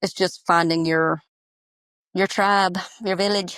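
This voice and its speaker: A woman's fairly low voice with a Southern US accent, at a moderate pace, in a dry, close sound with no echo. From US South, Georgia. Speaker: small business owner, soap maker. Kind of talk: podcast interview. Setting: audio-only remote call.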